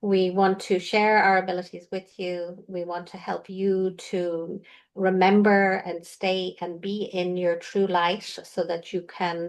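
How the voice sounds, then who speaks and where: The woman has an Irish accent and a medium pitch. She talks at a fairly slow pace with monotone, flat intonation over a quiet background. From Ireland. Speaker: intuitive healer. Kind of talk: casual chat.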